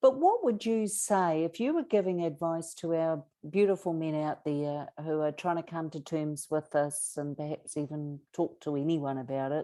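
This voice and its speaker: A woman with a New Zealand accent speaks at a moderate pace in a very deep, low pitch, her dark, mellow tone carrying ordinary pitch variation with hardly any pauses over a quiet background. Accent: Kiwi. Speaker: abuse survivor advocate and author. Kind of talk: interview conversation.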